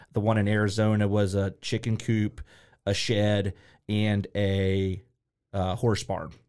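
Speaking with a Midwestern American accent, a man with a fairly low pitch talks at a fairly slow pace in a monotone, flat intonation and very even loudness. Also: very clean recording, silent background. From Ohio, Columbus. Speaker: small business owner. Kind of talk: casual interview.

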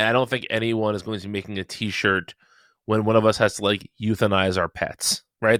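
An unremarkable speaking voice moves at a fairly quick pace. The recording is very clean with a silent background and a dry, close sound free of echo. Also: man. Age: 30s. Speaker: sports podcast co-host. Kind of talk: casual chat.

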